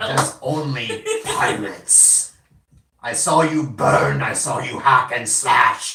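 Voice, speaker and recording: A man puts on a character voice, with a slight echo around it. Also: fairly high pitch for a man, fairly slow pace. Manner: accusatory, dramatic.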